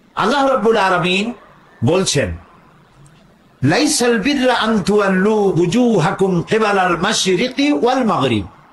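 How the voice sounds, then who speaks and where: Noticeable background noise sits behind a man with a high-pitched voice. His intonation is lively and his loudness stays very even. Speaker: Islamic preacher. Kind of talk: religious sermon. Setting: outdoor public gathering. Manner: emotional, powerful.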